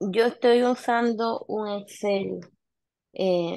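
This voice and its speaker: A woman's pitch shifts in an ordinary way, with a quiet background behind her. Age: 30s. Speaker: nail salon owner. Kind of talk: mentoring session. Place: home room. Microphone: video call.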